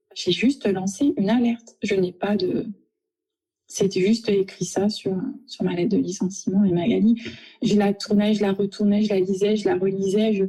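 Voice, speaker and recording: Her voice has a dark, mellow tone and sounds somewhat breathy. The woman keeps her loudness very even. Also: medium pitch for a woman, fairly even intonation, moderate pace. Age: 40s. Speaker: office manager, harassment victim. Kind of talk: testimony. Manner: halting, stammering.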